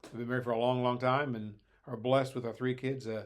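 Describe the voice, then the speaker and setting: Speaking with an Ohio accent, a man at medium pitch keeps a monotone, flat intonation. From Ohio, Hamilton. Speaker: Bible and history teacher. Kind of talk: casual chat. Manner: hesitant, many filler words.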